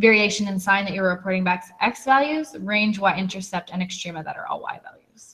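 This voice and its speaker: A woman talks at a fairly quick pace, her pitch varying in an ordinary way. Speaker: teacher. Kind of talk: lecture. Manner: fast.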